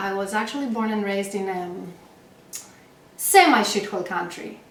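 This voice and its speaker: A woman with a Greek accent and a medium pitch talks at a moderate pace, with audible room echo and noticeable background noise. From Greece. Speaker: late-night comedy show host. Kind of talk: scripted comedy monologue. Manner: animated.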